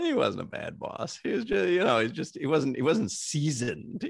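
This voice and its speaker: Lively intonation marks this man's speech. He talks at a fairly quick pace against a quiet background. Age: 50s. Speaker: sports radio producer and host. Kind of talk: casual chat. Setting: video call. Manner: over-enunciates.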